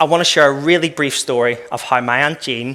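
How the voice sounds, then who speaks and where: Someone with an Irish accent talks at a fairly quick pace. The pitch varies in an ordinary way. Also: man. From Northern Ireland, West Belfast. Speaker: former professional footballer and keynote speaker. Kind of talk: keynote talk. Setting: conference stage with audience. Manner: fast-paced.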